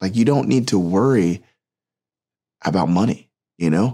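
Talking at a fairly quick pace with ordinary pitch variation, a man has a plain, everyday voice on a very clean recording with a silent background. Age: 30s. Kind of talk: devotional talk. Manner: casual, filler-heavy.

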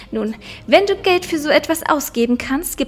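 Over noticeable background noise, a woman talks in an animated tone at a high pitch. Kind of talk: casual chat, then literary audiobook reading. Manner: animated, laughs a lot in chat; in the reading steady, measured, narrating.

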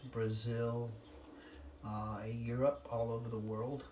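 A somewhat breathy voice moves at a very slow pace with monotone, flat intonation amid audible room echo. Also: man. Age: 70s. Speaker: licensed counselor. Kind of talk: interview. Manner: halting.

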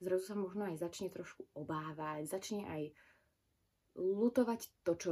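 At a moderate pace, a woman speaks with a fairly low pitch and a dark, mellow tone. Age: 20s. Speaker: podcaster. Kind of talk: personal monologue.

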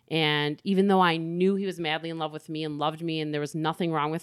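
With fairly even intonation and a fairly low pitch, a woman speaks in a plain, everyday voice. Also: very clean recording, silent background. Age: 40s. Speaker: abuse survivor sharing her story. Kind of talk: personal testimony interview. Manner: casual and conversational.

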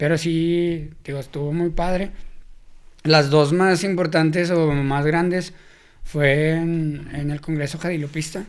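In a Mexican accent, a man speaks very slowly at a fairly high pitch, his intonation monotone and flat. Room echo is audible. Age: 20s. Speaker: youth leader and event organizer. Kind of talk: casual interview.

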